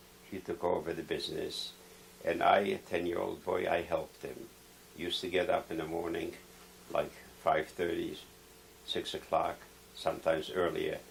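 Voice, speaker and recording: A man in a Polish accent at a moderate pace, with long, frequent pauses. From Poland. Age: 70s. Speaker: Holocaust survivor. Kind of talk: oral history interview.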